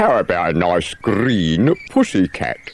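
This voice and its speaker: A man's put-on character voice, fairly low in pitch, at a fairly slow pace. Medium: read story. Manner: brisk, take-charge.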